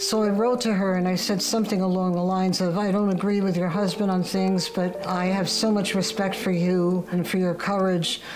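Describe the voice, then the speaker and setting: With a New York accent, a woman speaks at a fairly quick pace in a medium pitch with monotone, flat intonation, amid audible room echo and noticeable background noise. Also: hardly any pauses, very even loudness. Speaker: social media user. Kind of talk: testimony.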